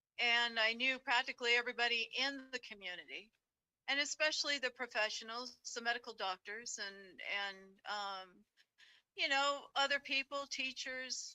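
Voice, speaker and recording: High-pitched, a woman speaks at a moderate pace. Her pitch varies in an ordinary way. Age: 60s. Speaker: housewife sharing paranormal experiences. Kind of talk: interview storytelling.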